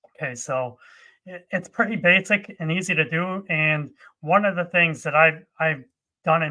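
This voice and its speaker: Here is a man with an ordinary speaking voice. He talks at a moderate pace in a fairly high pitch. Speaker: conference speaker on Java software. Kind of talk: technical tutorial presentation.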